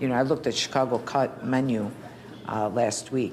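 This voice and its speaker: A woman's very deep, low voice with fairly even intonation over noticeable background noise. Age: 50s. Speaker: waitress. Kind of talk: documentary interview.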